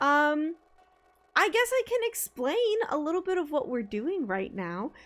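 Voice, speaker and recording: A woman speaks loudly at a high pitch in an animated tone, her voice swinging very widely in pitch. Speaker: streamer. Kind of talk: casual chat. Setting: live stream at desk.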